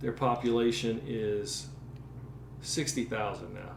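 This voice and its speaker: Over noticeable background noise, a man with a medium pitch speaks fairly slowly with fairly even intonation. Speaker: podcast host. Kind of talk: podcast interview.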